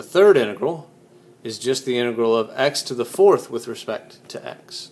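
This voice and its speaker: Noticeable background noise runs under the speech. The pace is moderate. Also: man. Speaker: physics teacher. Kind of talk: tutorial.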